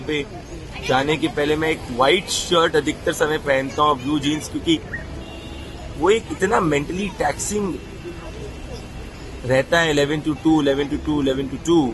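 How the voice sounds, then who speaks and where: Music plays behind a man with a fairly high pitch and fairly even intonation. He leaves long, frequent pauses. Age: 20s. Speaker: journalist. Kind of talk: personal narration to camera.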